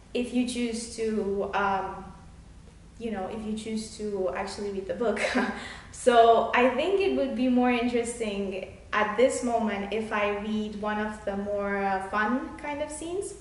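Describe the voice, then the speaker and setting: There is noticeable background noise as a woman speaks at a fairly slow pace in a fairly high pitch with ordinary pitch variation. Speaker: children's book author. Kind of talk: casual author introduction to camera, talking about her book.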